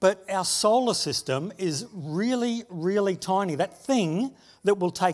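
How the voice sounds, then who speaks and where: A man with a high pitch speaks with lively intonation on a very clean recording with a silent background. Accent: Australian. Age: 60s. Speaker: pastor. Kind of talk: sermon.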